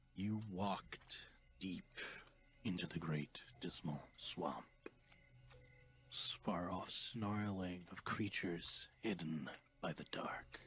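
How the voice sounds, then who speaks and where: A man's whispered, put-on character voice at a very slow pace, with long, frequent pauses. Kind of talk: horror narration. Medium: actual play.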